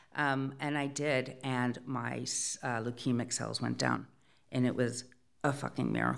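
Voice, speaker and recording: With audible room echo, a woman talks at a fairly slow pace. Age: 50s. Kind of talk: live storytelling. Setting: stage with audience.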